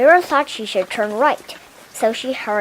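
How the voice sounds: The clip has a natural reading voice with lively intonation.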